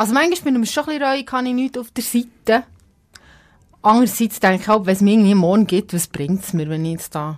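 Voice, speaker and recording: At a very fast pace, a woman speaks in a fairly high pitch with very wide pitch swings. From Switzerland, Epsach (Bernese Seeland). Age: 30s. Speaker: radio presenter, podcast co-host. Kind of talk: casual chat. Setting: radio studio.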